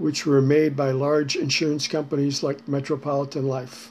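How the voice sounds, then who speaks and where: At a moderate pace, a man with a fairly high pitch speaks with an American accent. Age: 60s. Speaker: retired finance executive commenting on public affairs. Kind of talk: prepared commentary. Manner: measured, somewhat formal.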